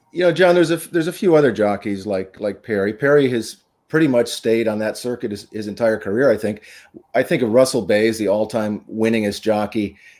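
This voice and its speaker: Here is a man with an ordinary speaking voice at medium pitch. He talks at a fairly quick pace with lively intonation. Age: 60s. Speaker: horse racing show host. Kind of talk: casual chat.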